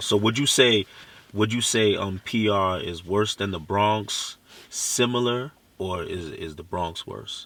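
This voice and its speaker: Loudness swings widely as a man with a Haitian accent talks at a fairly slow pace. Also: fairly low pitch for a man, ordinary pitch variation. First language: Haitian Creole. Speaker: interviewer. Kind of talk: casual interview.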